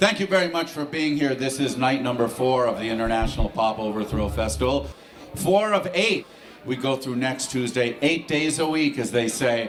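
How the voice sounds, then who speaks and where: A man of medium pitch with lively intonation at a fairly slow pace, with audible room echo and music in the background. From Los Angeles, US. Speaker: festival organizer and emcee. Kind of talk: stage introduction. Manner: enthusiastic.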